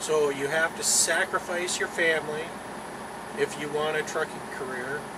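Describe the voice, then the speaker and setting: A man talks at a fairly slow pace while loud background noise goes on. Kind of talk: casual vlog chat. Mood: serious, cautionary. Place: car. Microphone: phone near.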